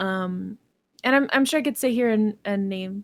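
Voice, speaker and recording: With a Quebec accent, a woman of medium pitch speaks at a moderate pace with fairly even intonation, in a dry, close sound with no echo. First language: Canadian French. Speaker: digital artist. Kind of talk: podcast interview.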